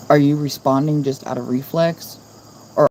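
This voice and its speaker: Against noticeable background noise, a woman with a very deep, low voice speaks at a moderate pace with fairly even intonation. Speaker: live streamer. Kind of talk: casual chat. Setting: livestream. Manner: monotone.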